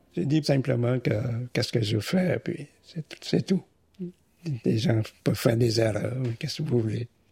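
At a fairly slow pace with long, frequent pauses, a man speaks in a somewhat breathy, dark, mellow voice of medium pitch and ordinary pitch variation. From Vietnam. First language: Vietnamese (speaking French). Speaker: immigrant retiree, engineer. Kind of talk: interview.

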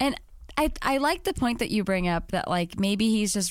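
Here is a woman with an ordinary speaking voice. She talks at a moderate pace. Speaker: author and podcast guest. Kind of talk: casual chat.

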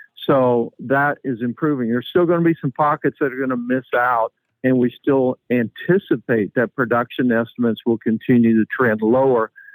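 With a normal speaking voice, a man talks at a moderate pace and a medium pitch with ordinary pitch variation and hardly any pauses, in a dry, close sound with no echo. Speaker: commodities economist. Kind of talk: interview.

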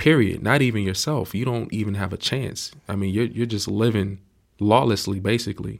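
Recorded very cleanly against a silent background, a man with an American accent has an unremarkable speaking voice and a fairly low pitch. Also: ordinary pitch variation, moderate pace. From Miami, Florida. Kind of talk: casual faith discussion.

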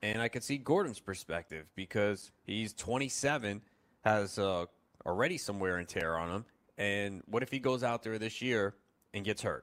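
A man speaks at a moderate pace in a fairly low pitch with ordinary pitch variation and a plain, everyday voice, on a very clean recording with a silent background. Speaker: fantasy sports radio host. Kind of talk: sports talk radio show.

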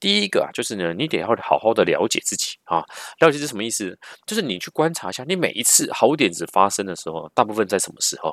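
Talking at a very fast pace, a man with a medium pitch makes very wide pitch swings and big swings in loudness, recorded very cleanly against a silent background with a dry, close sound and no echo. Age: middle-aged. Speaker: podcast host and marketing manager. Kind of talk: casual solo podcast Q&A. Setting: at family home in southern Taiwan. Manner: frequent filler particles.

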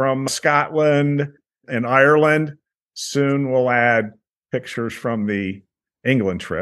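Fairly high-pitched man with a plain, everyday voice, fairly slow pace and ordinary pitch variation. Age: 60s. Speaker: beer travel tour operator. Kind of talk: interview.

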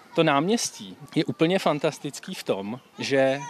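Over noticeable background noise, a man speaks very slowly at a fairly high pitch. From Czech Republic, Příbram. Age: 20s. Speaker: medical student. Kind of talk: casual chat.

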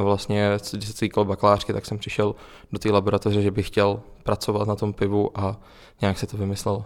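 The recording is very clean, with a silent background. A man speaks quickly-ish in a flat monotone at a fairly low pitch. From Czechia, Plzeň. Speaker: university student. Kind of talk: radio interview. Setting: student brewery.

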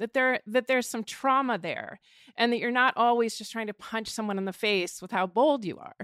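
This is a normal speaking voice with ordinary pitch variation and big swings in loudness, captured in a very clean recording with a silent background. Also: woman, fairly high pitch for a woman, moderate pace, dry, close sound with no echo. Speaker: journalist and podcast host. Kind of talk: casual panel discussion. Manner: rambling and casual.

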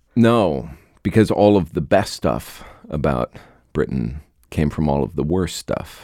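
With an American accent, a man speaks fairly slowly in a very deep, low pitch with vocal fry and long, frequent pauses. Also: lively intonation. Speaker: podcast host. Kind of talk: interview conversation.

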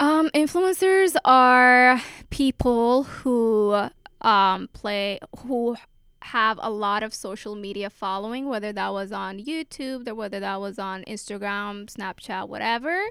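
Lively in intonation but fairly slow in pace, a woman with a normal speaking voice and a fairly high pitch is heard on a very clean recording with a silent background. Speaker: college student. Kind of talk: casual chat.

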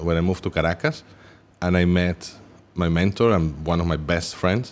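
A man talks at a fairly quick pace. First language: not English. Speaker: musician and artist. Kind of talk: casual chat. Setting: studio.

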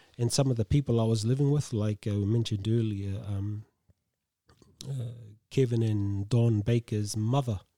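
A man's medium-pitched voice with a New Zealand accent, dark and mellow in tone, fairly even in intonation, at a moderate pace, with a dry, close sound and no echo. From New Zealand, Tolaga Bay (East Coast). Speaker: gardener and community worker. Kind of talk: casual interview.

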